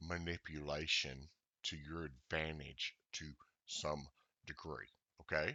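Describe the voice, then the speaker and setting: In a monotone, flat intonation, a man speaks fairly slowly. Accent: Southern US. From US South. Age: old. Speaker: trading indicator developer. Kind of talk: tutorial. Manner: casual, halting with many fillers.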